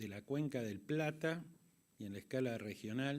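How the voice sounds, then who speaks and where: A man speaks at a fairly slow pace, his medium pitch moving with ordinary variation. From Argentina. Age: 60s. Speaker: conference moderator. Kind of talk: closing speech.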